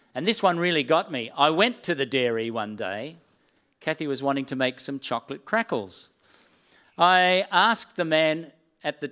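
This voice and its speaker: In an Australian accent, a man with a fairly high pitch and a bright, sharp tone talks at a moderate pace with lively intonation on a very clean recording with a silent background. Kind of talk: sermon. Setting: church with live stream.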